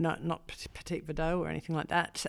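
A woman with an Australian accent. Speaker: vineyard owner and winemaker. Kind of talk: casual interview.

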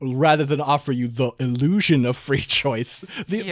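Drawling in a put-on character voice, a man speaks at a moderate pace and medium pitch. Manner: drawling, sinister.

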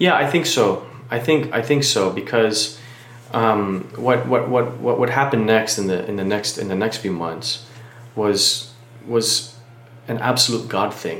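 The speaker has an American accent and ordinary pitch variation, talking at a fairly slow pace. Audible room echo and noticeable background noise are present. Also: man, medium pitch for a man. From Miami, Florida. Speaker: pastor. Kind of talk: testimony.

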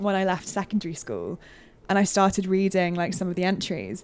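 A woman's medium-pitched voice with a British accent. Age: 20s. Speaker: games journalist. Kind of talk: casual chat. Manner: animated.

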